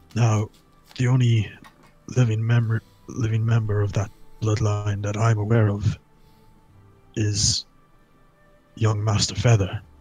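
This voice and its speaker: Putting on a character voice at a medium pitch, a man talks at a moderate pace in a flat monotone, with long, frequent pauses and faint music in the background. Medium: game stream. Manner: hesitant, stammering, humble.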